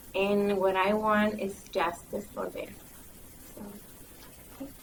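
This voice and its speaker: A woman speaks with a strong Mexican accent at a medium pitch, in a monotone, flat intonation and at a very slow pace. Audible room echo and noticeable background noise are present. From Mexico. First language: Spanish. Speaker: migrant program recruiter. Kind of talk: panel discussion. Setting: conference panel with audience.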